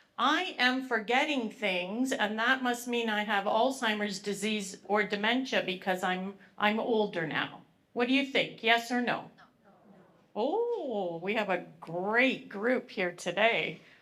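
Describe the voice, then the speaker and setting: A loud woman's voice, fairly high in pitch, with a bright, sharp tone, ordinary pitch variation and a Canadian accent, at a fairly slow pace. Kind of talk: public presentation. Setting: live event with audience, microphone. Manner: animated.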